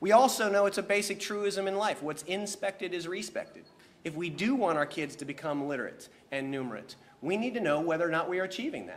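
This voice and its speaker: Lively intonation marks a man's speech at a very fast pace. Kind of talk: press conference speech. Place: hall. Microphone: podium.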